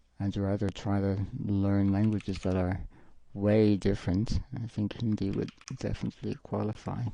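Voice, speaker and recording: With a dark, mellow tone, a man speaks at a moderate pace in a fairly low pitch and fairly even intonation. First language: French. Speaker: live streamer and artist. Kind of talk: casual live-stream chat while drawing. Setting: home live stream with green screen. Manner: halting, with frequent fillers and restarts.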